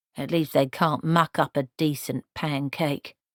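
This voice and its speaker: A put-on character voice, female-sounding and very deep and low in pitch, in a very clean recording with a silent background. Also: fairly slow pace. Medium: read story. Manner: stern, disapproving.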